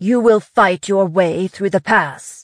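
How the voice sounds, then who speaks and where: In a put-on character voice that sounds female, someone talks at a fairly slow pace and middle pitch over a quiet background. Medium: read story. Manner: sneering, condescending.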